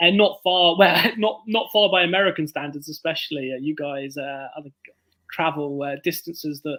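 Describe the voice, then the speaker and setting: This speaker has a southern English accent, a bright, sharp tone, ordinary pitch variation and a moderate pace. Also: man, fairly high pitch for a man. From southern England, Bournemouth. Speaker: author. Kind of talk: casual chat.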